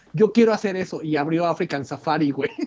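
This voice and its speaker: Speaking at a moderate pace with lively intonation, a man talks in a Mexican accent. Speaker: podcast co-host. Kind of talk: casual chat.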